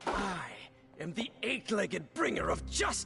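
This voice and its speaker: Over clear background music, a man does a raspy, put-on character voice, pitched high and delivered at a fairly slow pace. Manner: dramatic, menacing.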